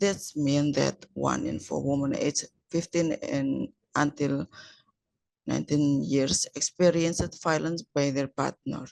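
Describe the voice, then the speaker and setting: A woman with an Indonesian accent at a fairly slow pace, dry and close with no echo. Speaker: researcher. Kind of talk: conference presentation. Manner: halting.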